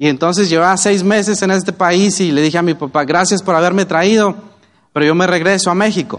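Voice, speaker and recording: A man with a Mexican accent speaks at a fairly quick pace and high pitch. His loudness is very even and his intonation fairly even. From Mexico, Oaxaca. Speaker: network marketing business leader. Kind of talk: motivational talk.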